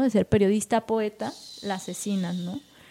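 Speaking at a fairly slow pace, a woman has a dark, mellow tone, fairly high pitch, and fairly even intonation. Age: 20s. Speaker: poet. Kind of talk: casual chat. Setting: cultural venue.

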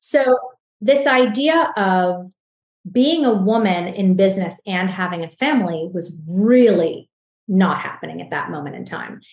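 A woman speaks fairly slowly at a medium pitch, somewhat breathy. Her intonation is lively and her loudness swings widely. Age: 40s. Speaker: skincare entrepreneur. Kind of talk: interview.

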